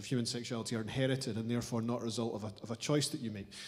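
A man talks at medium pitch with fairly even intonation. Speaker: audience member. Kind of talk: audience question. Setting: lecture hall with audience. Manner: halting. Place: hall. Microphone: handheld.

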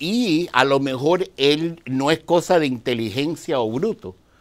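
A man's fairly high voice at a very slow pace, with lively intonation and hardly any pauses. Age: 60s. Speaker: dianetics practitioner; interview guest. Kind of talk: interview. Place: studio.

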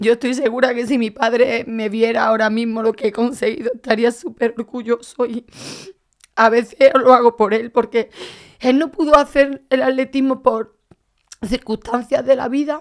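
At a moderate pace, a woman speaks in a high pitch with fairly even intonation over a quiet background. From Andalusia, Spain (Málaga); Andalusia, Spain. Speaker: athlete, heart transplant recipient; podcast guest. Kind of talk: interview. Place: studio. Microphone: studio mic.

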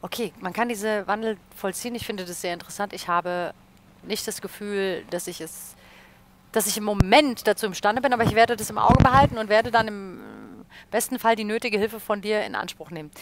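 A woman speaks at a fairly high pitch with big swings in loudness. Loud background noise runs behind her. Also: fairly quick pace, dry sound with no echo. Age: 30s. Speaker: radio presenter and livestream host; radio presenter, livestream host. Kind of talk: casual chat. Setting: studio livestream. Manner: animated. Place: studio. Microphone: headset.

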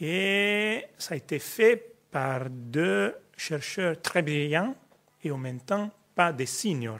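A man's fairly high voice with an Italian accent, very slow in pace, with very wide pitch swings. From Italy. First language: Italian (speaking French). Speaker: sociology professor. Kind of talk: panel discussion. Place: hall.

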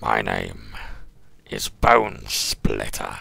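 A man speaks in a put-on character voice. It is raspy and pitched very deep and low. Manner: grudging, wary.

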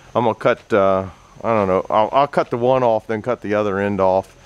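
At a fairly quick pace, a man speaks in a normal speaking voice with fairly low pitch and ordinary pitch variation. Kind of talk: casual vlog chat. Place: workshop. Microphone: phone near.

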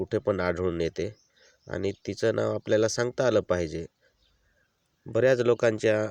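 A man's voice with ordinary pitch variation, dry and close with no echo, against a quiet background. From Maharashtra, Surgana area (Nashik district), Adivasi community. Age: 40s. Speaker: vlogger. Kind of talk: casual explanatory vlog.

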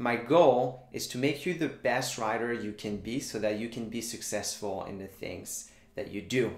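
A man talks at a moderate pace with a Quebec French accent. His pitch variation is ordinary. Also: fairly low pitch for a man.

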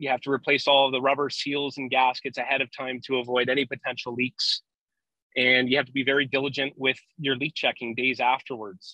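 A man's bright, sharp voice, fairly quick and monotone with flat intonation, dry with no echo over a quiet background. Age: 20s. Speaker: refrigeration construction foreman; guest. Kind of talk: casual technical interview. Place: car. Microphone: video call.

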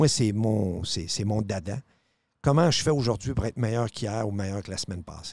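With a fairly low pitch and ordinary variation, a man uses a normal speaking voice at a moderate pace in a dry sound with no echo. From Quebec City (Charlesbourg); Quebec. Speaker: radio host. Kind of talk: casual chat. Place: studio. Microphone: studio mic.

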